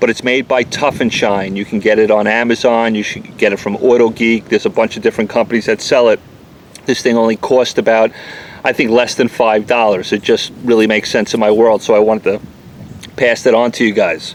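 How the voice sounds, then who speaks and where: A man with a New York accent speaks at a fairly quick pace and medium pitch, his intonation monotone and flat. Noticeable background noise runs beneath him. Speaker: auto detailer. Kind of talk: product review. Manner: fast.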